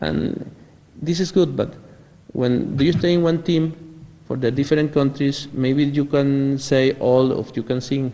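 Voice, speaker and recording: A man talks at a fairly slow pace with a Venezuelan accent. His intonation is fairly even. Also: fairly high pitch for a man. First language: Spanish. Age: 40s. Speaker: military officer. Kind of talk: interview. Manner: halting.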